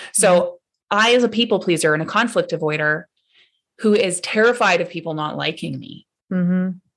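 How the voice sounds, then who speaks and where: A woman with a medium pitch talks at a fairly quick pace, her pitch varying in an ordinary way. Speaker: coach, speaker and author. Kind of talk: interview answer.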